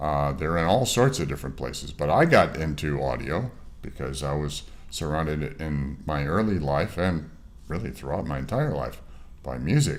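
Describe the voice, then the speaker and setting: A man with a Western New York accent speaks at a moderate pace in a very deep, low voice, with audible room echo. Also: ordinary pitch variation. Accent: Western New York American. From US Northeast, Rochester, New York. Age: 60s. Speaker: mastering engineer. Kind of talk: interview. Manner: halting, many fillers.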